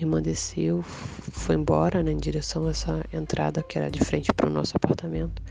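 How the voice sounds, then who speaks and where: Over noticeable background noise, a woman with a very deep, low voice speaks at a fairly quick pace with lively intonation. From Rio de Janeiro, Brazil. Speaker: storyteller sharing supernatural experiences. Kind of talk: personal testimony.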